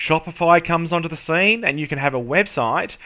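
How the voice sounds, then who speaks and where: A man talks at a fairly quick pace in an Australian accent. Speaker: SEO and marketing professional. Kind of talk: tutorial. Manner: casual, with many fillers.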